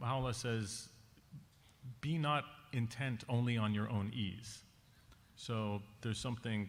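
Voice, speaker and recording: Audible room echo hangs around this speech. The man's pitch is medium. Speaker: conference panelist. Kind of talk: conference talk. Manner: fast.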